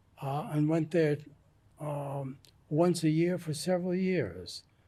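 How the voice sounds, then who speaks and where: With an American accent, a man speaks at a fairly slow pace in a fairly high, somewhat breathy voice with a dark, mellow tone and ordinary pitch variation. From US Northeast, New York. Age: 80s+. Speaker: retired psychiatrist, author. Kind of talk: interview.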